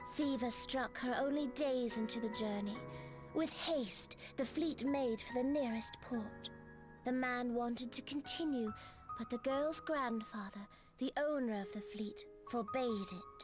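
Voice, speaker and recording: A put-on character voice, female-sounding and high in pitch, moves at a moderate pace. Clear music plays in the background. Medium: video game. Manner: measured, portentous, cryptic.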